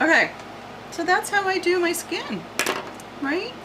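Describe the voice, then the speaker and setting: The speech runs at a moderate pace against noticeable background noise. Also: woman. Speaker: art tutorial channel host. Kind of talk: tutorial. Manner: casual, thinking aloud with hesitations.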